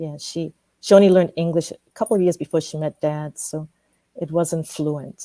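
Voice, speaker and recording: A dark, mellow tone with big swings in loudness, fairly even intonation and a moderate pace, in a dry, close sound with no echo. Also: woman, fairly low pitch for a woman. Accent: Ghanaian. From Ghana (Ashanti). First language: Twi. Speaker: professor. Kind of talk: interview.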